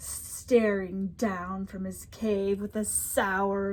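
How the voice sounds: Natural reading voice, nothing more.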